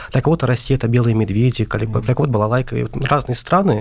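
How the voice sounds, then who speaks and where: A man talking very fast at a medium pitch, with ordinary pitch variation. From Azerbaijan. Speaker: translation student. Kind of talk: radio interview.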